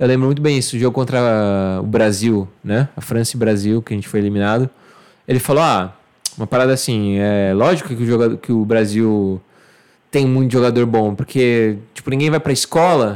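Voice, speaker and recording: Here a man talks at a fairly quick pace in a plain, everyday voice. His pitch sits in the medium range with ordinary variation. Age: 30s. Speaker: digital marketing worker. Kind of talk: casual chat.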